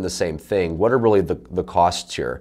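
Against a quiet background, a man speaks at a fairly quick pace. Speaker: sales coach. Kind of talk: tutorial. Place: studio.

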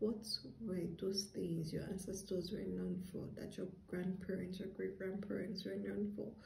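A woman at a moderate pace, with audible room echo and light background noise. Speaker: tarot reader. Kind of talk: tarot reading monologue to viewers. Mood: calm, earnest. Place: home room. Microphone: phone near.

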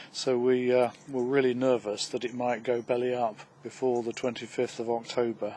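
A man speaks in a flat monotone with a dark, mellow tone. His moderate pace is recorded dry, with no echo. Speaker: interviewee, savers affected by bank collapse. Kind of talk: casual interview answers. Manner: hesitant, with fillers. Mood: worried, recounting ordeal. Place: garden.

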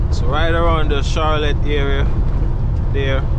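Against loud background noise, the speech moves at a very slow pace. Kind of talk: casual vlog chat. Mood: relaxed, content. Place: car. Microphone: phone near.

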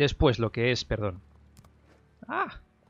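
A man is speaking. His voice comes across as somewhat breathy. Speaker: gaming YouTuber. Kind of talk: gameplay news commentary. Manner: casual with fillers and repetitions.

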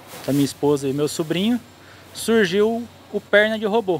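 At a moderate pace, a man speaks with a high pitch and ordinary pitch variation. Light background noise is present. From Brazil, Campinas (São Paulo state); São Paulo state, Brazil. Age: 30s. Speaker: truck driver; interviewee. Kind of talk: interview testimony. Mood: reflective, earnest. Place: street. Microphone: handheld.

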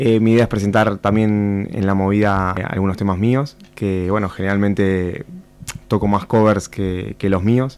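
The pace is fairly slow as a man speaks. His intonation is monotone and flat. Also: fairly low pitch for a man. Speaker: musician; guest. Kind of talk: radio interview. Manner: calm. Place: studio. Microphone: studio mic.

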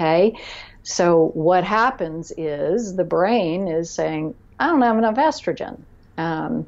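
Lively intonation from a woman with a fairly low pitch and an American accent. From Florida, US. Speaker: nutrition and health consultant; guest. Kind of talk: podcast interview. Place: office. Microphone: earbuds.

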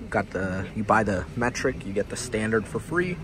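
Noticeable background noise accompanies a man speaking at a fairly quick pace, the sound dry with no echo. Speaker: vlogger touring a tool truck. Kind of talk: casual vlog chat. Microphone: phone near.

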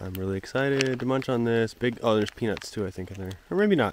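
Light background noise behind a male speaker with ordinary pitch variation. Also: dry sound with no echo. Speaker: thru-hiker vlogger. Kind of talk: casual vlog chat. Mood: cheerful. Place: forest. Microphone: phone near.

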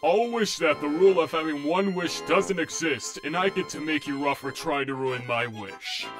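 With clear music playing in the background, a man uses a put-on character voice at a fairly high pitch and a moderate pace. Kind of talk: fan comic dub. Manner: grumpy, sarcastic.

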